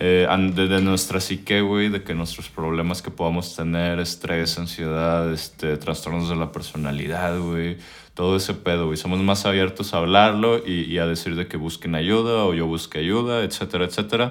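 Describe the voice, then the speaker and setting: A man speaks with a very deep, low pitch. His intonation stays fairly even. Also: moderate pace. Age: 20s. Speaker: podcast host. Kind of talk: casual chat.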